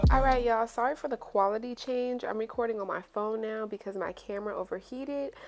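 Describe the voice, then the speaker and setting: Over music in the background, a woman talks at a very fast pace with hardly any pauses, using a fairly high pitch and fairly even intonation. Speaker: beauty YouTuber. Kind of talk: tutorial. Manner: casual.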